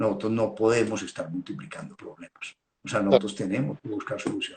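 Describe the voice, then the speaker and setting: His voice is somewhat breathy. The man speaks fairly quickly, with lively intonation. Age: 60s. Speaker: veterinarian. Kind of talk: technical talk. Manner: halting, repeats words.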